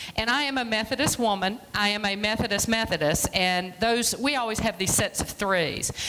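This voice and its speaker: A woman talks fairly slowly with lively intonation while noticeable background noise continues. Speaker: free clinic director, guest speaker. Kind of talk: church presentation talk. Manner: loud.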